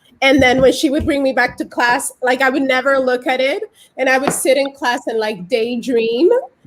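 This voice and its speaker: A woman with a Dominican accent speaks in a high pitch. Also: ordinary pitch variation. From Dominican Republic. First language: Spanish. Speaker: immigrant artist. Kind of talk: panel discussion. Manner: fast when excited.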